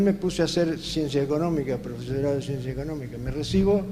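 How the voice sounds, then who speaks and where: Moderate-paced male speech, audible room echo and noticeable background noise throughout. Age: 80s+. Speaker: entrepreneur and panelist. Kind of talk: panel discussion.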